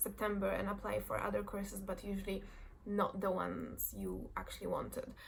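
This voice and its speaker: A woman speaks with a Polish accent. Her pace is moderate. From Poland. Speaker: fashion design graduate. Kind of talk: casual talk to camera. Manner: nervous, hesitant.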